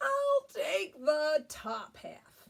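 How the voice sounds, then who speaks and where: Using a put-on character voice, a woman sounds squeaky. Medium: read story. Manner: slow, drowsy.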